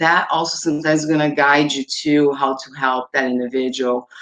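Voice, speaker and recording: The delivery moves at a moderate pace. It carries a Portuguese accent. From Brazil, São Paulo. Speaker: domestic violence advocate. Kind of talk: panel discussion. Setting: live webinar.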